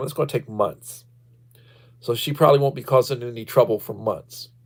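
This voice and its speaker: Somewhat breathy and fairly high-pitched, a man speaks with an American accent and ordinary pitch variation. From Texas, Victoria. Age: 60s. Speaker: livestreamer, retired school principal. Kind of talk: casual livestream chat. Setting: livestream.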